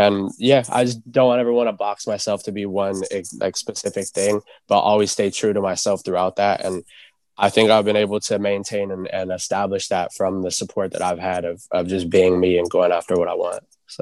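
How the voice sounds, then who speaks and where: At a fairly quick pace, a man with a plain, everyday voice talks at a fairly low pitch with fairly even intonation. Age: 20s. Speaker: rapper. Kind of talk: casual chat. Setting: video call.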